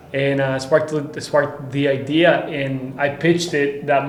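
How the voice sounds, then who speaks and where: A man with a Spanish accent speaks at a fairly high pitch, with audible room echo and noticeable background noise. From Costa Rica. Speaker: tequila brand founder. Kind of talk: podcast interview.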